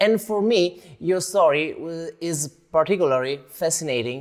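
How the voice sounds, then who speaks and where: A man with an Italian accent, high-pitched, with lively intonation. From Italy. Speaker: interviewer. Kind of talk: interview. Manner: halting.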